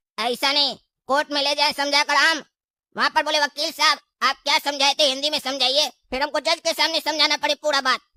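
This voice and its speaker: This cartoonish character voice is high-pitched and flat, delivered in a monotone at a fairly quick pace. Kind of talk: comic cartoon dialogue. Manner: colloquial, rustic Hindi with folksy phrasing.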